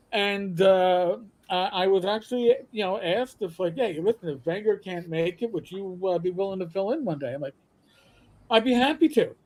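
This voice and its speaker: Speaking with a New York accent, a man with a high pitch keeps a moderate pace and ordinary pitch variation. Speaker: podcaster. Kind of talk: casual chat. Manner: animated.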